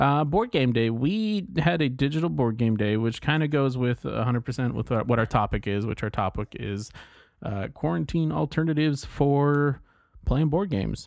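An ordinary speaking voice, a man with medium pitch and lively intonation talks at a moderate pace on a very clean recording with a silent background. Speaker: podcast host. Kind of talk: casual chat.

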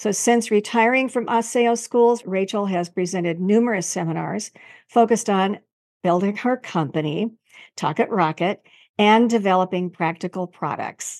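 A woman speaks in an ordinary speaking voice at a medium pitch, with ordinary pitch variation. Her pace is moderate, and the background is quiet. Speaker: podcast host, speech-language pathologist. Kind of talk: interview.

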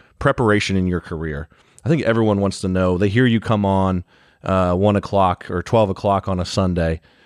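In an American accent, a man talks at a fairly quick pace with a very deep, low pitch. The sound is dry and close with no echo, and his intonation stays fairly even. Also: quiet background. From Ohio. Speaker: podcast co-host. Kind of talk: casual interview.

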